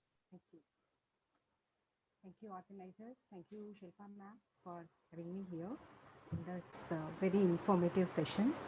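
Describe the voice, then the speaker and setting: A soft-spoken woman's somewhat breathy voice, medium in pitch, with a dark, mellow tone, fairly even intonation, big swings in loudness, and long, frequent pauses. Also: moderate pace. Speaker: nutrition researcher. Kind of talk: lecture.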